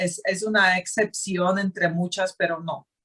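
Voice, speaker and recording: At a very slow pace, a woman with a Slovak accent speaks at medium pitch with ordinary pitch variation. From Slovakia. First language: Slovak (speaking Spanish). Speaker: expat traveler. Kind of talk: casual interview chat.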